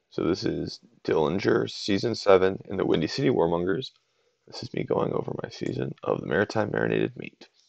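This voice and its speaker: Over a quiet background, a man mumbles at a fairly quick pace, the sound dry with no echo. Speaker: game commentator. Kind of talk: gameplay analysis commentary. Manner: mumbling, quiet. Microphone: webcam.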